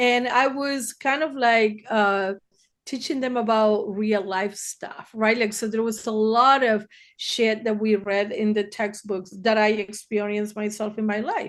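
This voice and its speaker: A woman speaks with a Spanish accent at a fairly high pitch. Her intonation is fairly even. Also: fairly slow pace, quiet background. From Argentina, Buenos Aires. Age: 60s. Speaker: therapist. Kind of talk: podcast interview.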